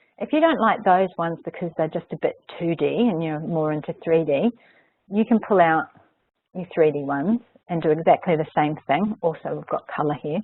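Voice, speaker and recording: A woman with an unremarkable speaking voice talks at a fairly quick pace, her fairly low pitch showing ordinary pitch variation. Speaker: software trainer. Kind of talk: webinar tutorial. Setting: online webinar.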